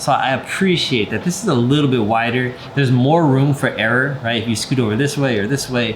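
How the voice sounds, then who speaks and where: A man's medium-pitched voice at a fairly quick clip, with ordinary pitch variation, very even loudness, hardly any pauses, audible room echo and noticeable background noise. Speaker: product reviewer. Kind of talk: product review and demonstration. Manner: casual, filler-heavy.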